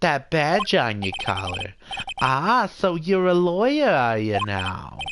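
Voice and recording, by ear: A put-on character voice at middle pitch and a fairly slow pace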